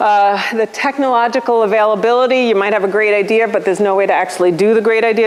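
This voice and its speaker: A woman talks at a very fast pace with hardly any pauses, her fairly high voice held at a very even loudness. Noticeable background noise sits behind her. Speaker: policy lecturer. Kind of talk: lecture. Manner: animated. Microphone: room with bad acoustics.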